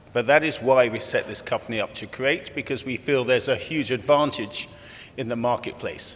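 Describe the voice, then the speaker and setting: A man keeps a fairly quick pace, with noticeable background noise behind him. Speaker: company executive chairman. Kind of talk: conference presentation. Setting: conference room with audience. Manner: loud; conversational, with fillers.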